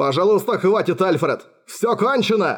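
A man puts on a character voice with a high pitch. He speaks at a moderate pace. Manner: pleading.

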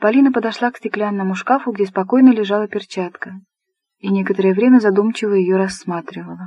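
Someone does plain reading aloud. Behind them, all is quiet.

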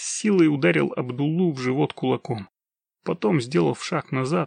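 A natural reading voice with lively intonation comes through against a quiet background.

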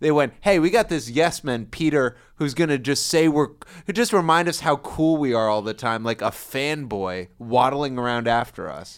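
A man with a normal speaking voice talks at a moderate pace and a fairly high pitch. His intonation is lively, with hardly any pauses. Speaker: podcast co-host. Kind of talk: casual chat. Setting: studio. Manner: laughs often.

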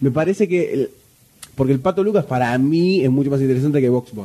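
A man's dark, mellow tone with a slightly husky edge, medium pitch and a fairly quick pace. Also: lively intonation.

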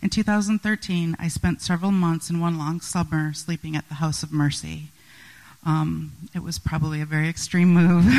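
A woman talks at a moderate pace with a dark, mellow tone. The sound is dry and close, with no echo. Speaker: photographer. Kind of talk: talk in church. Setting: church.

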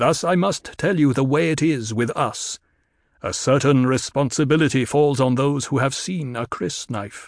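Against a quiet background, a man talks at a moderate pace. His pitch is fairly high, with ordinary variation. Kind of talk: audiobook full-cast drama. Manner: proud, formal, unhurried.

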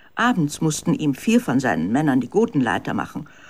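The voice moves at a fairly quick pace with big pitch swings and a slightly mellow tone.

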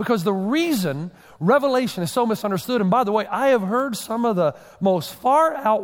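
Speaking at a fairly quick pace, a man uses a high pitch and lively intonation. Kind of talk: sermon. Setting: church stage with congregation. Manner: fast.

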